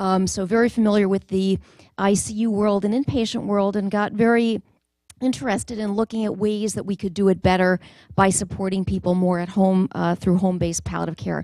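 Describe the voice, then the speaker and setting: Against a quiet background, a woman talks at a fairly quick pace with fairly even intonation, and the sound is dry with no echo. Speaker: presenter. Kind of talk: conference talk. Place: hall. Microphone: handheld.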